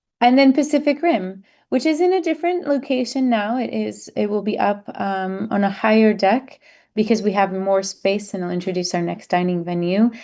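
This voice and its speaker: A medium-pitched woman's voice with a dark, mellow tone and lively intonation, set against a quiet background. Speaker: cruise line representative. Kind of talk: virtual presentation. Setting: online virtual event. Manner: fast.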